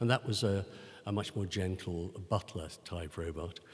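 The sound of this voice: A man speaks at a moderate pace, with a low pitch and ordinary pitch variation.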